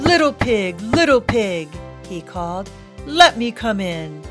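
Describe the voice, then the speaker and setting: A female-sounding voice growls through a put-on character voice at a medium pitch. The pace is fairly slow, with clear music in the background. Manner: wheedling, coaxing.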